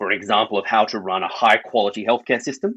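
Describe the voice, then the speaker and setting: An Australian accent at a fairly quick pace, dry and close with no echo, against a quiet background. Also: man. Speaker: public health doctor and health service sustainability lead. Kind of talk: podcast interview.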